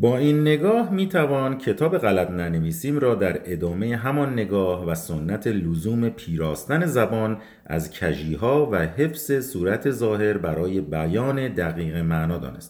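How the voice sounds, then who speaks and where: Very wide pitch swings with hardly any pauses. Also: man, fairly low pitch for a man, moderate pace. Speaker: radio co-host. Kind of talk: reading aloud from a book introduction on a radio show. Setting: radio studio broadcast. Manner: formal, measured.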